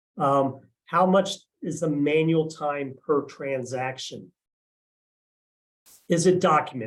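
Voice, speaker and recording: A man speaks in a somewhat breathy voice. His pitch varies in an ordinary way. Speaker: RPA engineer, presenter. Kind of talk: webinar presentation. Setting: live online stream. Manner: fast.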